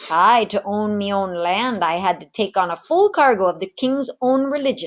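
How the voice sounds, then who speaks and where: A woman performs a put-on character voice at medium pitch and a moderate pace. She breaks into cackling. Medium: read story.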